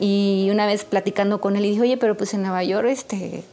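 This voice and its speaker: A woman with a medium pitch speaks at a fairly quick pace and with fairly even intonation over noticeable background noise. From Mexico, San Luis Potosí. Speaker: jazz drummer and singer. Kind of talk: interview.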